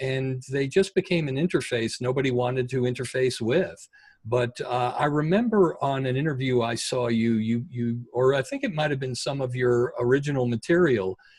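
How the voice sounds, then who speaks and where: Somewhat breathy, a man talks with hardly any pauses and ordinary pitch variation. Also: medium pitch for a man, moderate pace. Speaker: podcast host. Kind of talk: podcast interview host talk.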